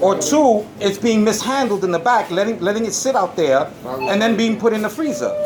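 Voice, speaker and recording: A man speaks loudly at a fairly quick pace, with ordinary pitch variation. There is noticeable background noise. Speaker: customer filming a complaint. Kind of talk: heated argument. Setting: in a supermarket. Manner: animated.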